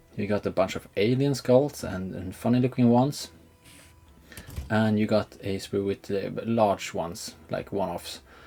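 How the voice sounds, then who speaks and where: Music plays in the background as a man speaks at a moderate pace, fairly low in pitch, with ordinary pitch variation. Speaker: miniature hobbyist YouTuber. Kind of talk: hobby tutorial. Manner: hesitant, many fillers.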